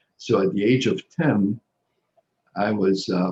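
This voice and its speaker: The voice has a dark, mellow tone and moves at a very slow pace. Its pitch varies in an ordinary way. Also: man. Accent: non-native. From Egypt (Cairo). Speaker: social worker. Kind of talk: interview. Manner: halting, many fillers and repetitions.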